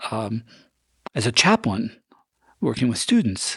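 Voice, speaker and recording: With vocal fry, a man talks at a moderate pace and a medium pitch. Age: 70s. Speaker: pastor and former university president. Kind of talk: interview about ministry. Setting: podcast recorded on camera.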